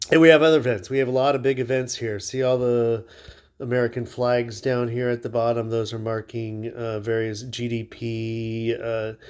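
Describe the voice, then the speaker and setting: Over a very clean recording with a silent background, a man speaks at medium pitch in a flat monotone. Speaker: crypto market analyst. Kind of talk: tutorial. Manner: slow.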